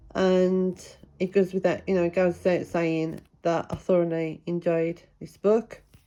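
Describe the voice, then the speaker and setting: A woman speaks in a British accent. Her pace is fairly slow and her intonation is monotone and flat. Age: 50s. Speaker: book reviewer. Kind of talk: casual book review vlog. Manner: rambling, hesitant with fillers.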